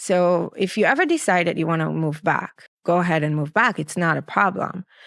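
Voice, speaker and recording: A woman speaks at a fairly quick pace with an Israeli accent, her pitch fairly low with ordinary variation. The recording is very clean, with a silent background. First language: Hebrew. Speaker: clinical psychologist. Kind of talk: interview answer.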